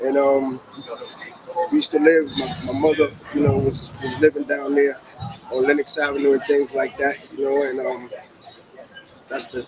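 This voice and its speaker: Amid noticeable background noise, a man with a fairly high pitch speaks at a moderate pace with fairly even intonation and long, frequent pauses. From New York, Harlem. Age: 60s. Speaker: interviewee. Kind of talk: casual interview.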